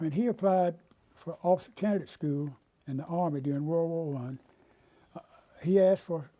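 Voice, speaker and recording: A man with a North Carolina accent, a high pitch, a dark, mellow tone, ordinary pitch variation, and a fairly quick pace. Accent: US Southern, North Carolina. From North Carolina, Raleigh. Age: 80s+. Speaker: retired lawyer. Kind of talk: oral history interview.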